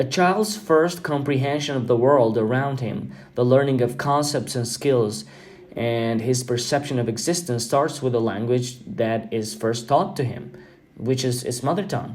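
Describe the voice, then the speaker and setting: A man speaks at medium pitch and a moderate pace, with ordinary pitch variation. Audible room echo is present. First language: Albanian. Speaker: podcast host. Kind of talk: podcast monologue. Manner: halting with fillers.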